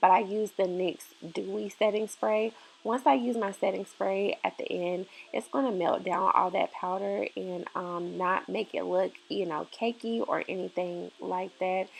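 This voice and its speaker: Hers is a normal speaking voice, a woman at medium pitch with ordinary pitch variation. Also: fairly slow pace. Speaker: beauty YouTuber. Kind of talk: tutorial. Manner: casual, filler-heavy.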